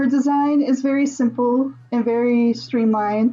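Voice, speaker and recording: Music plays in the background as a woman talks. Her pitch is high and her pace moderate. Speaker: streamer reviewing original characters. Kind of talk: casual live stream commentary. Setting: live stream.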